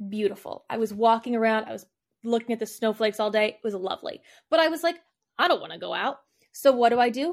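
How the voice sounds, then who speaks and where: A woman with an American accent speaks at a very fast pace in a fairly high voice with ordinary pitch variation, on a very clean recording with a silent background. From northern US. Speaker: podcast host and interviewer. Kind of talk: casual chat.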